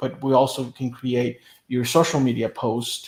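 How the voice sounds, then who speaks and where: At a fairly slow pace, a man with a Spanish accent speaks at a medium pitch. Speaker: media business owner. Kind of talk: interview.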